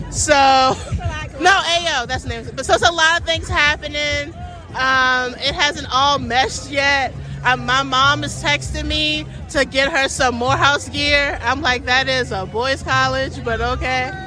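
Music plays in the background while a woman speaks at a fairly slow pace. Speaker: podcast host. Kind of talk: casual chat.

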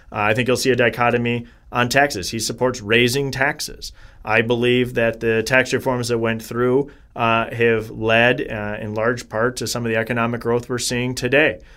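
A man with a Wisconsin accent speaks at a moderate pace and medium pitch, his bright, sharp tone held in a flat monotone. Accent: Upper Midwest (Wisconsin). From Wisconsin, Janesville. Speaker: congressional candidate, attorney. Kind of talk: interview.

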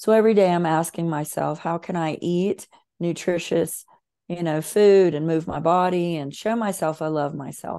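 A woman with a Southern US accent, a dark, mellow tone, fairly even intonation and a moderate pace, against a quiet background. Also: fairly low pitch for a woman. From US South. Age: 50s. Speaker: author and emotional healing coach. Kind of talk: interview.

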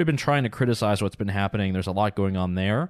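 The sound is dry and close with no echo, in a very clean recording with a silent background. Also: man. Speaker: consumer advocacy radio host and policy commentator. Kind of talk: radio interview.

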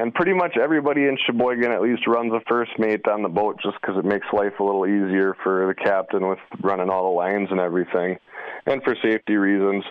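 The speaker talks at a very fast pace with a Wisconsin accent. Pitch variation is ordinary. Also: man, fairly low pitch for a man. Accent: Upper Midwest (Wisconsin). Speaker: fishing charter captain. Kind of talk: interview. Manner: casual, with filler words.

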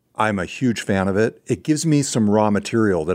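A man's lively intonation in a very clean recording with a silent background. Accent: American. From California. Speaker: podcast host. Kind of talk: casual conversation. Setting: studio.

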